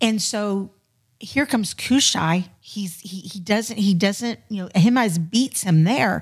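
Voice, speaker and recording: A woman with an American accent talks at a very slow pace, somewhat breathy, with big swings in loudness. The recording is very clean, with a silent background. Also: medium pitch for a woman, ordinary pitch variation. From Florida. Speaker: church ministry volunteer. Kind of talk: casual chat.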